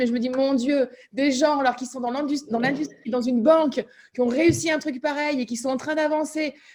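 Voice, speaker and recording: This woman talks at a fairly quick pace in a high pitch. Her tone is animated. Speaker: meeting facilitator. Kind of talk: online group meeting discussion. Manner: fast.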